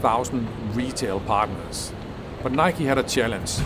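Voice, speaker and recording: There is noticeable background noise and audible room echo. Through it, a man speaks at a moderate pace. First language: not English. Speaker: business innovation video creator. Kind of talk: educational explainer.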